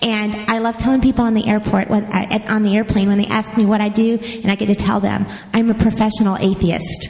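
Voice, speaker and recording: A woman's fairly high voice, monotone and flat, at a fairly quick pace with hardly any pauses and very even loudness, over noticeable background noise. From Kentucky, Louisville. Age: 40s. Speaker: nonprofit executive director. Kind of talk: panel podcast chat. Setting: live audience at hotel convention.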